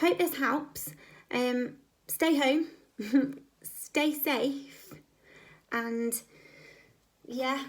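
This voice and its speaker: A squeaky, high-pitched woman's voice at a very slow pace, broken by long, frequent pauses. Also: ordinary pitch variation. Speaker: video creator giving fitness advice. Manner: casual, chatty, with filler pauses.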